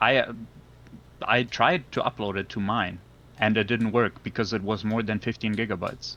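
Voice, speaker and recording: With a non-native accent, a man talks at a moderate pace in a fairly low pitch, his tone bright and sharp and his intonation fairly even. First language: not English. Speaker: gamer accused of cheating. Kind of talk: heated debate. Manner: halting, repeating words.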